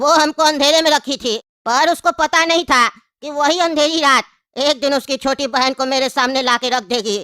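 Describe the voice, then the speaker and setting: The pitch is high in this put-on character voice. Its pace is moderate. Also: female-sounding voice. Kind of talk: comic interview answer.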